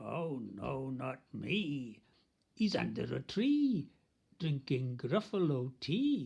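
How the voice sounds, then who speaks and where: A put-on character voice sits at a low-to-middle pitch. The delivery comes at a very slow pace. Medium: read story.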